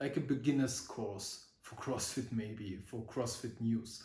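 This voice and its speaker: At a very slow pace, a man talks in a medium pitch, his voice somewhat breathy, with audible room echo. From Germany. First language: German. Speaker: vlogger. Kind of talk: casual vlog talk. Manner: halting, many fillers.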